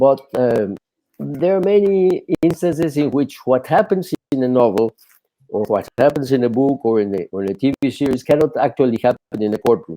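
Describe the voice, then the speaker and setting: The voice carries a strong Spanish accent and a dark, mellow tone, moving at a moderate pace with very wide pitch swings. The sound is dry and close, with no echo. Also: man, medium pitch for a man. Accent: thick Spanish. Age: 70s. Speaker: attorney and court interpreter, author. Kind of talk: podcast interview. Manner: halting, many repetitions.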